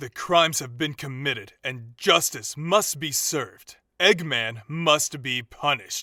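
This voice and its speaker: A man puts on a character voice at a fairly high pitch, speaking fairly slowly with hardly any pauses. The recording is very clean, with a silent background. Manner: stern, formal.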